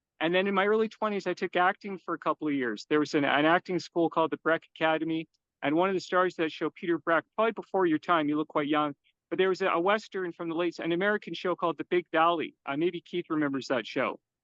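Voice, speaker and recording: A man with a Canadian accent speaks at a very fast pace. His pitch is high, with ordinary pitch variation. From Canada. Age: 50s. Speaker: self-published author and security guard. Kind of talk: podcast interview, life story.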